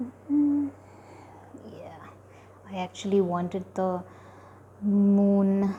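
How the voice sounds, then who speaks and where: Soft-spoken and somewhat breathy, a woman with a dark, mellow tone and medium pitch talks at a very slow pace with ordinary pitch variation and long, frequent pauses. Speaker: art tutorial creator. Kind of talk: drawing tutorial. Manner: soft-spoken, slow while drawing; halting, many fillers.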